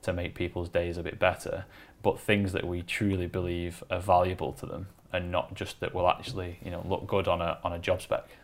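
With a Lancashire accent, a man talks at a fairly quick pace in a very deep, low pitch and monotone, flat intonation, recorded very cleanly against a silent background. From northern England, Wigan. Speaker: creative agency operations director. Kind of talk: casual interview chat. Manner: hesitant with fillers and repetitions.

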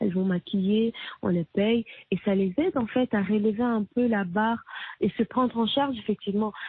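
A woman's unremarkable speaking voice, fairly high in pitch, with ordinary pitch variation, very even loudness and a moderate pace. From DR Congo. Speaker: singer-songwriter and activist. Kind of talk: interview.

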